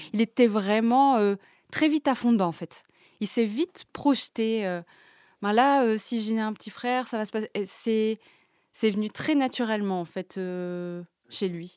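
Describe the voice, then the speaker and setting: On a very clean recording with a silent background, a woman speaks at a very slow pace with long, frequent pauses and ordinary pitch variation. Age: 30s. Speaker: mother sharing parenting experience. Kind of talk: personal testimony. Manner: hesitant, with fillers and repetitions.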